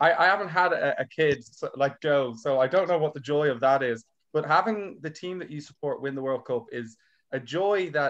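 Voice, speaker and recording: Speaking in an Irish accent, a man uses a fairly high voice with ordinary pitch variation at a moderate pace. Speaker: comedian. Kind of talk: casual chat.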